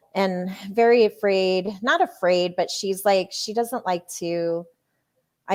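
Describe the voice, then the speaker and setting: Medium pitch for a woman, with ordinary pitch variation. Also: very clean recording, silent background. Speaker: co-founder of a women's media company, live show host. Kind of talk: casual live stream chat. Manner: loud; animated.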